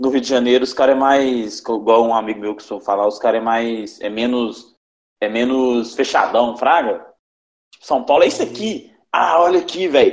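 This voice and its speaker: A man speaks at a moderate pace and medium pitch with ordinary pitch variation. His loudness swings widely. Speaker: podcast host. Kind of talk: casual chat. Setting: remote recording from home.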